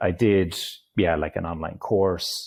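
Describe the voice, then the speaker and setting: A man with an Irish accent speaks at a very deep, low pitch in a dark, mellow tone, keeping a moderate pace and fairly even intonation. The recording is very clean and the background silent. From Ireland. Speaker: digital nomad, online entrepreneur. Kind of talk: interview conversation.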